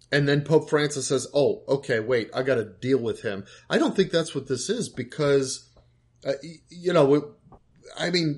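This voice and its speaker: Speaking at a moderate pace with ordinary pitch variation, a somewhat breathy man leaves long, frequent pauses. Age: 50s. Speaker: podcast co-host. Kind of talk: casual chat.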